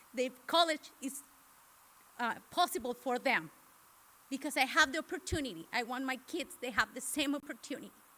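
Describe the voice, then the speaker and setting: A woman with a Mexican accent speaks in a raised, projected voice at a high pitch. Her tone is bright and sharp, her intonation lively, and her pace moderate. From Mexico. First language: Spanish. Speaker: parent speaker. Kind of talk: personal testimony. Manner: halting.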